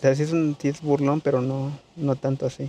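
A man talks at a fairly quick pace in a medium pitch. His dark, mellow tone shows little pitch movement.

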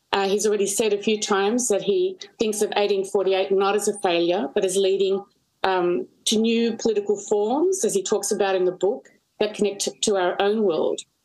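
A woman at a moderate pace, with very even loudness and fairly even intonation, over a quiet background. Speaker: history professor and panelist; history professor, panelist. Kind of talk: panel discussion. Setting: video call. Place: home room. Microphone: video call.

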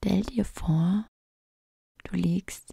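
In a calm tone, a woman speaks at a very slow pace. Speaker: relaxation guide / ASMR creator. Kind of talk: guided relaxation fantasy journey, sleep story. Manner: calm, soft-spoken, slow.

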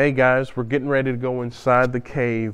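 A man is talking at a moderate pace. Behind him, it is quiet. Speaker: travel vlogger. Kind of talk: casual vlog chat. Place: tunnel cave. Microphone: lapel.

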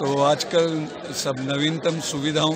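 A man talks over loud background noise. The sound itself is dry with no echo. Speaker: amateur marathon runner. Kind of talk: interview answer. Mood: cheerful, animated. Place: open country. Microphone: phone near.

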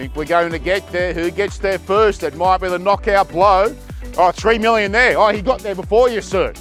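A man's voice at a moderate pace, dry with no echo, over faint music in the background. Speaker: auctioneer. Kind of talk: auction calling. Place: garden.

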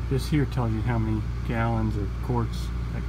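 A man's moderately paced speech comes through over noticeable background noise. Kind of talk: tutorial. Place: garage. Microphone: phone near.

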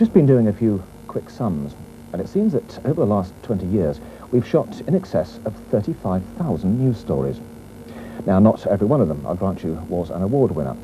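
A man with a fairly low pitch speaks at a moderate pace while music plays in the background. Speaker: TV reporter narrating retrospective. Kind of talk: 1980s regional TV news feature voiceover, scripted narration. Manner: wry, polished, dryly witty, measured pace. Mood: calm, measured, solemn at times. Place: studio. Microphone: lapel.

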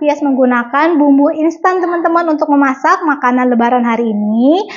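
A woman talks in a high pitch. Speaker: home cooking vlogger. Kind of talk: casual vlog chat. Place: kitchen. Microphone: lapel.

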